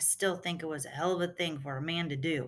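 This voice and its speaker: A put-on, growling character voice at a middle pitch, delivered at a very fast pace. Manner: growling, resentful.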